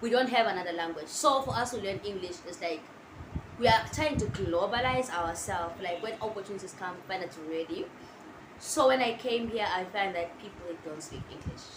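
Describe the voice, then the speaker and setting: A woman with an Eswatini accent, medium pitch and lively intonation, fairly quick pace and big swings in loudness, amid audible room echo and noticeable background noise. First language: Siswati. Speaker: international student vlogger. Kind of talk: casual vlog talk to camera. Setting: sitting down, filming to camera.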